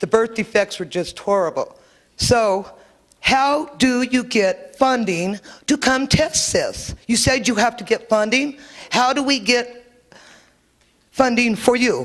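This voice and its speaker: A woman speaks at a fairly slow pace in a high voice, her pitch varying in an ordinary way. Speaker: member of the public. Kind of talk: public meeting comment. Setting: public meeting with microphone. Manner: loud.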